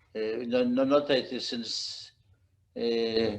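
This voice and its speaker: A man speaks at a very slow pace. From Poland. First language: Polish. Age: 80s+. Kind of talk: casual conversation. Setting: video call. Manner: halting, many fillers.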